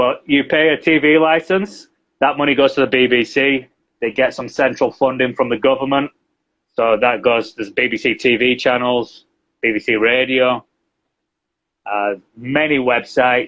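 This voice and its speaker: A man in a Yorkshire accent at a moderate pace, with fairly even intonation and long, frequent pauses. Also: medium pitch for a man. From northern England, Yorkshire. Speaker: English teacher and translator. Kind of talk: interview. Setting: live video stream.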